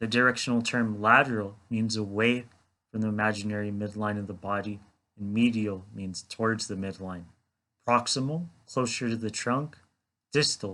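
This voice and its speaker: This man's voice is fairly low in pitch, with a bright, sharp tone and fairly even intonation. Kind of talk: educational explanation to camera. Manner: slow.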